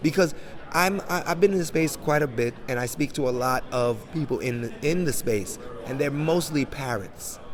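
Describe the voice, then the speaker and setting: The delivery is animated, with lively intonation at a moderate pace. Noticeable background noise runs underneath. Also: man. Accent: American. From Jamaican, grew up in 1980s New York. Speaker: NFT and crypto entrepreneur. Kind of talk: interview.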